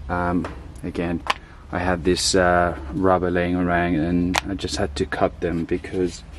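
A man talks at a very slow pace in a very deep, low voice, the sound dry with no echo and light background noise behind him. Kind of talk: tutorial. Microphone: phone near.

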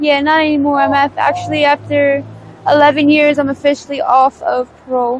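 A woman with an American accent speaks at a moderate pace in a monotone, flat intonation and very even loudness. The sound is dry with no echo, and there is light background noise. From Pennsylvania, US. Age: 20s. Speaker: homeless drug user interviewee. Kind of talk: street interview. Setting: outdoors on the street. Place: street. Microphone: lapel.

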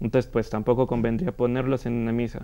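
Dark, mellow tone from a man of medium pitch over a quiet background. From Peru. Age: 20s. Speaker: composer and singer; guest. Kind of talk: interview. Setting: studio. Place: studio. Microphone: lapel.

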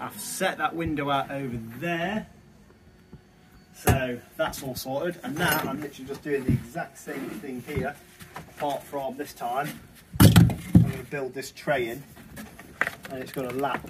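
A man's medium-pitched voice, fairly even in intonation, at a fairly slow pace, with audible room echo

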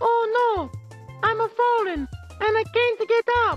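An extremely high-pitched put-on character voice at a fairly slow pace, with clear music in the background. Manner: impression of a classic commercial.

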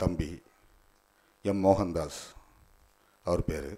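A dark, mellow tone over a quiet background. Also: man. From Kanyakumari district, Tamil Nadu; Tamil Nadu. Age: 40s. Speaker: lawyer and party official; speaker. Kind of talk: ceremony speech. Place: hall. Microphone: podium.

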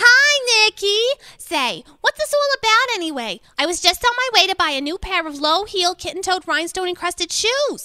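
In a put-on character voice, a woman talks at a moderate pace with an extremely high pitch, big pitch swings, a bright, sharp tone, few pauses, and a dry, close sound with no echo.

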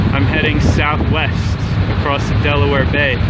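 Dry sound with no echo under loud background noise. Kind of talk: casual vlog chat. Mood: relaxed, reflective. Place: boat. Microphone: phone near.

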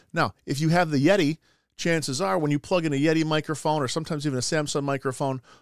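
A man's fairly high-pitched voice at a fast pace, with fairly even intonation, on a very clean recording with a silent background

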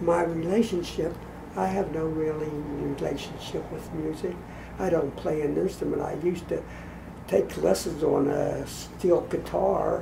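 This man speaks at a fairly slow pace. Noticeable background noise runs behind him. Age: 80s+. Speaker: elderly grandfather; grandfather reviewing a gift. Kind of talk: casual chat. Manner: halting. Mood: warm, relaxed, reminiscing. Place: home room. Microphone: camera far.

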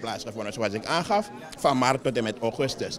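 A man's intonation is lively as he speaks at a fairly quick pace.

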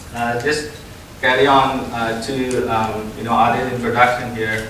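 Room echo is audible as a man speaks at a fairly slow pace. Light noise runs in the background. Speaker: keynote speaker. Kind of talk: conference keynote talk. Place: hall.

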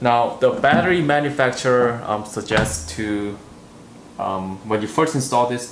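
At a moderate pace, a man talks with audible room echo and light background noise. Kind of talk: tutorial.

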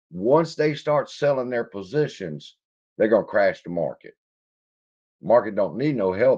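In a Louisiana accent, a man talks at a moderate pace. The background is quiet. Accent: Louisiana Southern US. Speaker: stock market YouTuber; stock market streamer. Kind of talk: casual livestream commentary; casual livestream chat. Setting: home studio livestream. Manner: casual, profane and laughing. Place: home room.

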